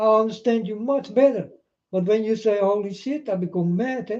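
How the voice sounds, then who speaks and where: A man's dark, mellow voice with a Dutch accent. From Netherlands. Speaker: video blogger. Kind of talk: rambling monologue to camera. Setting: self-recorded on camera.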